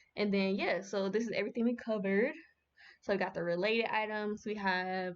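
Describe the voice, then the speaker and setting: A woman speaks in a plain, everyday voice at a medium pitch. Her intonation is fairly even. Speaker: streamer teaching a class. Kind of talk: livestream tutorial. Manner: casual, filler-heavy.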